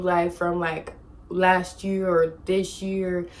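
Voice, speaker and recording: There is noticeable background noise behind a woman speaking with an American accent. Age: 20s. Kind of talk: casual storytime talk to camera. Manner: chatty, animated.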